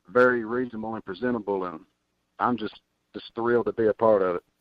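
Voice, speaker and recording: Speaking at a fairly quick pace in a Tennessee accent, a man keeps a medium pitch and fairly even intonation. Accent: Southern US (Tennessee). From Tennessee, near Nashville. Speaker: country recording artist. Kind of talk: radio interview. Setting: phone call.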